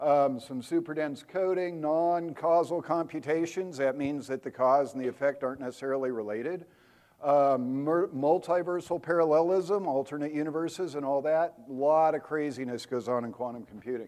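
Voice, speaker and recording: A man's dark, mellow tone at a fairly high pitch, with ordinary pitch variation and hardly any pauses. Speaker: software architect giving a tech talk. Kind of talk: conference talk to live audience. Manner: fast.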